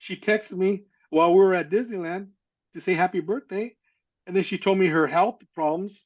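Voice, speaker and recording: A man with an American accent speaks at a fairly quick pace. His intonation is fairly even, and the background is quiet. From Northern California. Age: 60s. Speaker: adoptee sharing life story. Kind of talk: testimony. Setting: podcast interview. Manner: halting.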